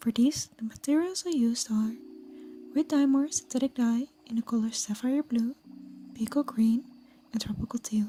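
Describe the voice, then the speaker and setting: A soft-spoken woman's high voice at a moderate pace, with ordinary pitch variation and long, frequent pauses. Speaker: cosplayer. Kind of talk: tutorial voice over.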